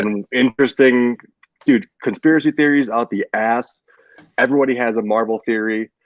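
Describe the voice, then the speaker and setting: At a moderate pace, a man with a plain, everyday voice speaks at a medium pitch with fairly even intonation, the sound dry and close with no echo. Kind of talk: casual podcast banter.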